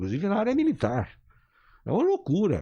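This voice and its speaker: Against a quiet background, the talking goes fairly quickly. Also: man. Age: 60s. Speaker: engineer and political activist. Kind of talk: radio interview. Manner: animated.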